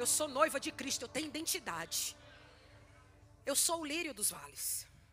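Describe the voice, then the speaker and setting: A woman with a northeastern Brazilian accent, high in pitch, with an animated tone, lively intonation and a moderate pace, music playing in the background. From Brazilian Northeast. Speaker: pastor. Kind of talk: sermon. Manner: animated, preaching.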